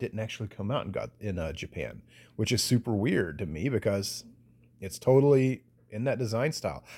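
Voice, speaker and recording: A man with a Southern US accent and a fairly low, dark, mellow voice, in a very clean recording with a silent background. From US South. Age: 40s. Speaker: podcast host. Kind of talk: casual monologue.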